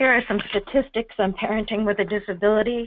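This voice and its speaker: A woman speaks at a moderate pace with an unremarkable speaking voice. Her pitch is medium. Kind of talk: webinar presentation.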